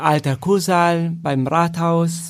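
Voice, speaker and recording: Speaking at a very slow pace with fairly even intonation and an Italian accent, this voice comes through on a very clean recording against a silent background. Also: man. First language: Italian (speaking German). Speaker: professional chamber musician. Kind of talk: casual interview.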